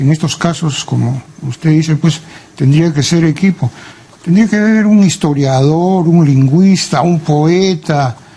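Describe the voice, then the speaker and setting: This man's voice sits fairly high and moves with ordinary pitch variation at a fairly slow pace. His loudness stays very even over noticeable background noise. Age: 70s. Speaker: psychiatrist and literary scholar. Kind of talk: interview.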